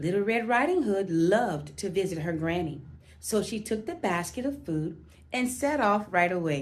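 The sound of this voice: What we hear is an unforced reading voice.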